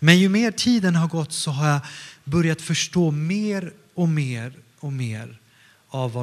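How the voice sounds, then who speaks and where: A man's somewhat breathy voice at a very slow pace, with lively intonation. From Stockholm area, Sweden, partly northern Italy. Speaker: pastor. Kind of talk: sermon.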